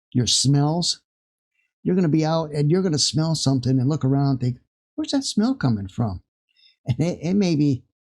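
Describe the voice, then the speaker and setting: A man's fairly high, somewhat breathy voice at a fairly quick pace, with ordinary pitch variation, on a very clean recording with a silent background. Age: 60s. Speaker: spiritual vlogger. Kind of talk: casual spiritual talk to camera. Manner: halting, many fillers.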